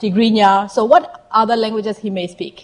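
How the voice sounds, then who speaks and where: A woman in a Burmese accent speaks at a fairly high pitch. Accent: Southeast Asian (Burmese). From Myanmar. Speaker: health equity consultant. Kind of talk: presentation to audience. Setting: stage with audience.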